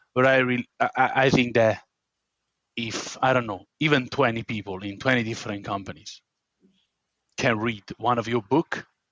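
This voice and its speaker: A man with an Italian accent talks at a moderate pace and medium pitch, his intonation fairly even and broken by long, frequent pauses. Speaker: podcast host. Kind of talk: podcast interview.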